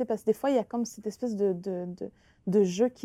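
A woman with a Quebec accent speaks at a moderate pace in a fairly high voice. Her tone is dark and mellow, and the sound is dry and close with no echo. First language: Innu (speaking French). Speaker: author and actress. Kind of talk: interview. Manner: halting, many repetitions.

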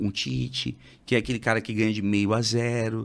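A man of medium pitch with vocal fry at a moderate pace, in a very clean recording with a silent background. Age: 30s. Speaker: radio presenter and stand-up comedian. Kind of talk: casual chat.

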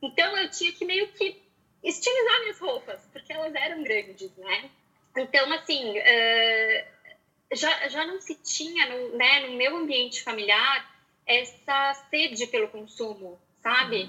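A woman speaks high and loud, projecting her voice at a fairly slow pace. Her pitch swings very widely, and her loudness rises and falls sharply. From Porto Alegre, southern Brazil. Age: 30s. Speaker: style consultant. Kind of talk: casual interview.

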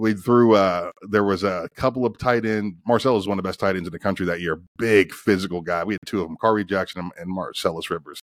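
Talking at a very fast pace with hardly any pauses, a man with an American accent keeps his intonation fairly even. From US Midwest, Northeastern Ohio. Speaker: former college football player. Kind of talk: casual interview.

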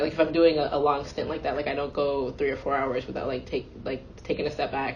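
Audible room echo surrounds a woman whose voice sits very deep and low. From US, Nigerian immigrant family. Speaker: cybersecurity company CEO. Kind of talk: interview conversation.

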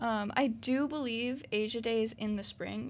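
A woman with an American accent and an unremarkable speaking voice talks at a fairly high pitch with fairly even intonation, on a very clean recording with a silent background. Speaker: student co-host. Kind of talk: interview.

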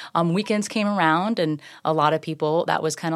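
A woman with an American accent speaks at a moderate pace in a fairly low pitch, with fairly even intonation and an unremarkable speaking voice. The recording is very clean, with a silent background. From Florida, Tampa Bay area (Safety Harbor). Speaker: serial entrepreneur and real estate agent. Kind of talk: casual interview. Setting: studio.

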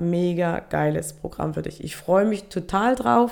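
The woman's voice has a dark, mellow tone. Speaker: self-love and relationship coach, podcast host. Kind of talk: solo podcast monologue. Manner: frequent filler hesitations (ähm).

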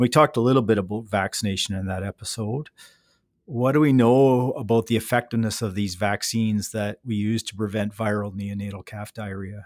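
A man with an unremarkable speaking voice, fairly low pitch, fairly even intonation and a fairly quick pace. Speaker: veterinarian podcast host. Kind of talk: interview.

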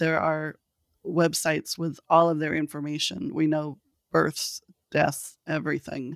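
On a very clean recording with a silent background and a dry, close sound with no echo, a woman with a Californian accent speaks fairly slowly in a very deep, low pitch and a flat monotone. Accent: General American (Californian). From Los Angeles, California. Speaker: thanatologist and researcher. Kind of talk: interview.

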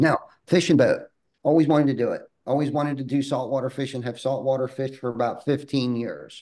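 A man's fairly high-pitched voice, dark and mellow in tone, monotone and flat, at a fairly quick pace. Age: 40s. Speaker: roofing company owner. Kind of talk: podcast interview.

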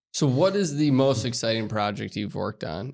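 On a very clean recording with a silent background, a man with an ordinary speaking voice talks at medium pitch and a moderate pace. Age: 30s. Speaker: podcast host, business consultant. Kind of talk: casual interview chat.

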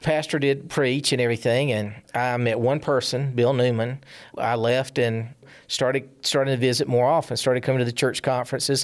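On a very clean recording with a silent background, a man with a Southern US accent speaks at a medium pitch in a monotone, flat intonation and very even loudness. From South Carolina, small town. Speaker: church member. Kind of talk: testimony. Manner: halting.

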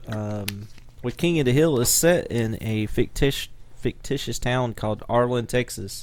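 At a moderate pace, a man speaks in a normal speaking voice with an American accent. His pitch is medium, with ordinary pitch variation. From US South. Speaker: podcast co-host, musician. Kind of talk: casual chat.

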